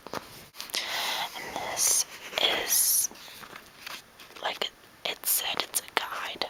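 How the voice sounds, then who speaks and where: A woman is whispering. Noticeable background noise runs underneath. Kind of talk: ASMR whisper video showing items to camera. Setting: home bedroom recording. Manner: soft-spoken, whispering.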